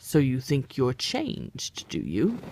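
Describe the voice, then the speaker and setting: Pitched low to middle, the put-on character voice moves at a fairly slow pace. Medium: read story. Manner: curt, contrary.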